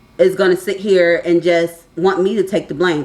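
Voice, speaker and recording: A medium-pitched woman at a moderate pace. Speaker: vlogger. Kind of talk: casual vlog monologue. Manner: loud.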